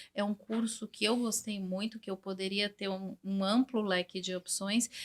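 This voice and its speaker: A woman with a fairly high, somewhat breathy voice and ordinary pitch variation is recorded dry and close, with no echo. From Brazil, São Paulo. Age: 40s. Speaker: English teacher. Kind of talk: interview.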